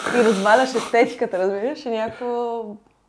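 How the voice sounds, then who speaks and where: A woman speaks at a fairly high pitch with ordinary pitch variation over noticeable background noise. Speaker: visual artist. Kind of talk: casual chat.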